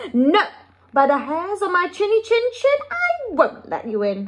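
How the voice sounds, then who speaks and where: Squeaky and extremely high, the put-on character voice makes very wide pitch swings. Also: moderate pace. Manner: defiant.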